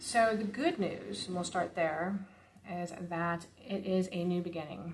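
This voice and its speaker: A woman talks at a fairly slow pace and medium pitch. Her voice is somewhat breathy. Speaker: tarot reader. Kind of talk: tarot reading. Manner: soft-spoken.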